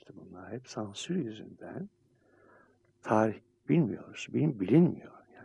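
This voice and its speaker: A man with a fairly low pitch and a dark, mellow, somewhat breathy tone talks at a very slow pace with long, frequent pauses. His voice makes very wide pitch swings and big swings in loudness. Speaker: radio host and psychiatrist. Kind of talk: casual chat.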